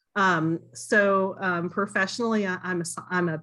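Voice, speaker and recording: A woman with a Southern US accent talks at a medium pitch against a quiet background. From US South, Kentucky. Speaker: board applicant, university professor. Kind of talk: public meeting interview. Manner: halting, many fillers.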